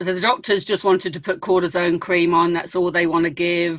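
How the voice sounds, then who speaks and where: Against a quiet background, a woman talks in a fairly low pitch. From England. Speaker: former preschool teacher, network marketer. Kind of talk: interview testimony. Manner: halting.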